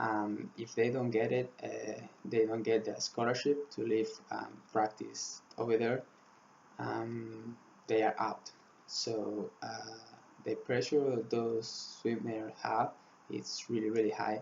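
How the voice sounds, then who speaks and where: In a Spanish accent, a man speaks very slowly at a medium pitch with monotone, flat intonation. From Spain. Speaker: student swimmer. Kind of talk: class presentation. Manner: halting, many fillers.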